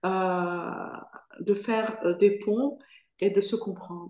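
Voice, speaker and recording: A woman with a dark, mellow tone talks at a very slow pace. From Morocco (Fès). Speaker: foundation president giving a testimony. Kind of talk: Q&A in an online lecture. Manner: hesitant, many fillers.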